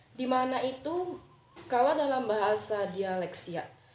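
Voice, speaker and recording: A woman speaks very slowly at a fairly high pitch. Her pitch varies in an ordinary way, and room echo can be heard. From Riau, Siak regency (Indonesia). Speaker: university student. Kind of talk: class assignment presentation. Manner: hesitant, with frequent fillers.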